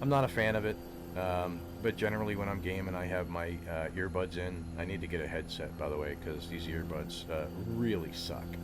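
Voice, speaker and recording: In a room with audible echo, a man with a very deep, low voice speaks at a fairly quick pace with ordinary pitch variation. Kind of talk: gameplay commentary. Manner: casual, halting with fillers.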